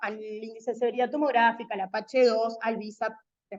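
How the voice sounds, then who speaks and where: A woman talking at a fairly quick pace. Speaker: medical lecturer. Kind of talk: lecture. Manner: fast.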